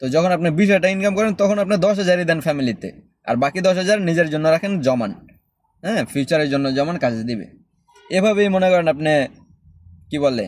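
A man's high-pitched speech carries lively intonation. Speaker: expat vlogger. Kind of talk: casual advice monologue.

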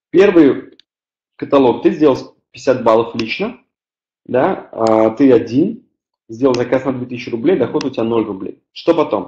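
With a dark, mellow tone, a man speaks fairly slowly and leaves long, frequent pauses, his pitch varying in an ordinary way amid audible room echo. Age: 20s. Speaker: network marketing team leader; webinar presenter. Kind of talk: webinar presentation. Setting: online webinar with live chat. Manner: hesitant, many filler sounds. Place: home room. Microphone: webcam.

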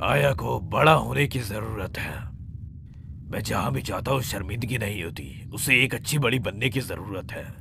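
There is clear background noise behind a man speaking at a fairly low pitch. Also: moderate pace. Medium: fan dub. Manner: harsh, scolding, authoritarian.

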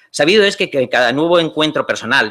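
A bright, sharp tone from a man, with a quiet background. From Spain. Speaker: lawyer; conference panelist. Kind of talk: conference talk. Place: hall. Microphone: podium.

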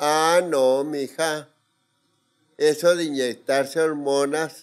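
Against a quiet background, a man with a fairly high pitch speaks at a very slow pace in a monotone, flat intonation. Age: 80s+. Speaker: interviewee. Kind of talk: casual chat. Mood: reflective, candid. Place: studio. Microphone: studio mic.

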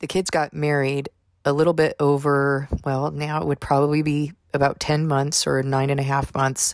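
A soft-spoken woman's very deep, low voice in a monotone, flat intonation. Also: moderate pace. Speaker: faith vlogger. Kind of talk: testimony.

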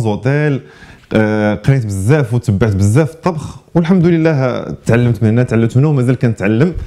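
Against a quiet background, a man speaks at medium pitch. He keeps a moderate pace with lively intonation. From Morocco. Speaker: chef and restaurant manager; interviewee. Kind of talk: interview. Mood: relaxed, smiling. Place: studio.

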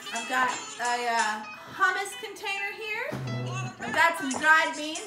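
A woman speaks at a moderate pace with clear music in the background. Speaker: music teacher with child. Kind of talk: casual tutorial. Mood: cheerful, playful. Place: kitchen.

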